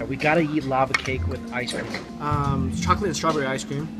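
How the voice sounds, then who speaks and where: A man talks at a very fast pace over loud background music. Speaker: food vlogger. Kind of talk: casual vlog chat. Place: cafe. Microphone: phone near.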